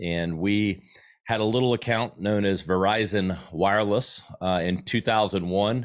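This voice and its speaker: A Southern US accent at a moderate pace, fairly even intonation, on a very clean recording with a silent background. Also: man. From South Carolina. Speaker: marketing expert and agency owner. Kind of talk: casual interview.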